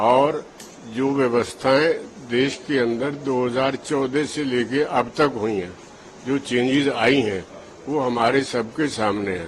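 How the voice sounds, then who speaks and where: A man's voice, medium in pitch with ordinary pitch variation, comes through noticeable background noise. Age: 70s. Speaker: voter. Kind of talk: street interview.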